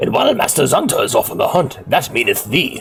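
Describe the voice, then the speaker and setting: At a fairly quick pace, a man talks in a put-on character voice. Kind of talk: archaic, medieval. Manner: comical, exaggerated.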